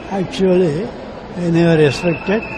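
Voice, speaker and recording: A man speaks at a high pitch over crowd noise in the background, with audible room echo. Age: 90s. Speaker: craftsman. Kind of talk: interview answers.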